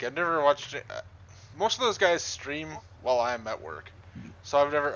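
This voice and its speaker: A man talks at a very fast pace with a strong Canadian accent. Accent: thick Canadian. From Southern Ontario, Canada. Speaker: game streamer and map modder. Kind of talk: live gameplay stream chat. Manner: casual, frequent filler words.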